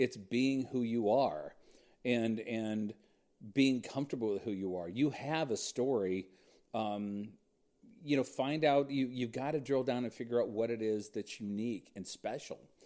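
This man speaks with an American accent at a moderate pace, his pitch medium. His tone is dark and mellow, with lively intonation. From Southern California. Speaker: country radio personality. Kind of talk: casual chat.

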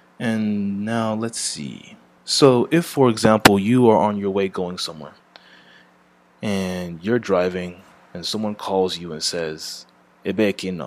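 An unremarkable speaking voice from a man, fairly low in pitch, with ordinary pitch variation, big swings in loudness and a fairly slow pace, on a very clean recording with a silent background. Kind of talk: tutorial.

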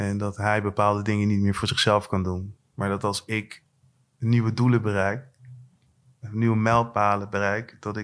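Monotone, flat intonation from a man at a fairly low pitch. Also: very clean recording, silent background. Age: 40s. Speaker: rapper. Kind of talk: casual chat. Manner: halting.

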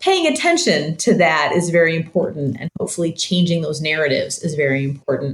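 A woman with a Midwestern American accent. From US Midwest (Michigan). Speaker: human rights researcher and author. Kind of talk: interview.

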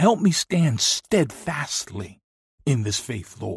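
A somewhat breathy voice moves at a very slow pace with very wide pitch swings, in a dry, close sound with no echo. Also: man. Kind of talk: fervent spoken prayer interwoven with scripture quotations. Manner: earnest, pleading supplication addressed directly to God.

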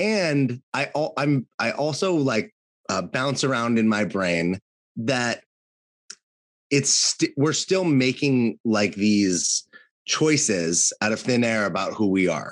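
Heard dry and close with no echo, a man with an American accent talks at a very slow pace in a medium pitch, making very wide pitch swings. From California. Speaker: podcast co-host and coach. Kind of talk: casual chat.

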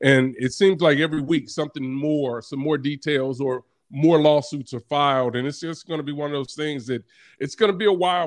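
A man speaks in an unremarkable speaking voice at a fairly high pitch. His pace is fairly quick and his intonation fairly even. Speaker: college football analyst, former NFL player. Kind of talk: sports radio interview.

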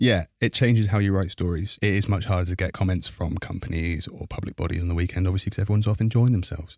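Over a silent background in a very clean recording, a man speaks very fast in a very deep, low, somewhat breathy voice with fairly even intonation. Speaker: reporter. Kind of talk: casual interview.

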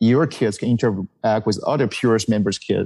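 A man speaks with a Taiwanese accent in a dark, mellow tone at a medium pitch. His intonation is fairly even, his pace moderate, and the sound dry and close with no echo. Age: 50s. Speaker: charity founder. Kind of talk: interview. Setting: video call. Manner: halting.

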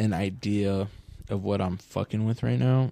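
The voice has a dark, mellow tone and an American accent. It moves at a moderate pace with ordinary pitch variation. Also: man. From Southern California, Orange County. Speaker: podcast host. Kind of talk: casual chat.

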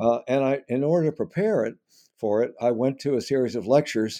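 A man speaks at a moderate pace with a medium pitch, a dark, mellow tone and ordinary pitch variation against a quiet background. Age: 80s+. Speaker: historian and author. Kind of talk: interview. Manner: halting.

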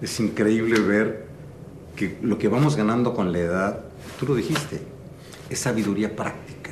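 Over noticeable background noise, a man speaks at a moderate pace with long, frequent pauses. His pitch is fairly low, with ordinary pitch variation. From Mexico City. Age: 60s. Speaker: entrepreneur and advisor. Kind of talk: interview. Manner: animated; halting.

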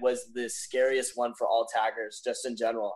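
A plain, everyday voice with an American accent, a fairly quick pace and ordinary pitch variation. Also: man. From Los Angeles. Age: 20s. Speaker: parkour athlete. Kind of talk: casual chat.

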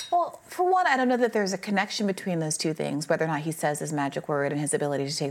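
Noticeable background noise sits behind the speech. A woman talks at a very fast pace. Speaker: political news show co-host. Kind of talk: news commentary discussion.

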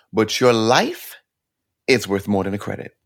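An animated man with an American accent at a medium pitch, his pitch varying in an ordinary way, on a very clean recording with a silent background. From New York, Brooklyn. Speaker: actor and singer. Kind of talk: casual interview.

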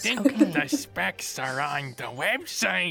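The voice is a put-on character voice. It sounds gravelly.

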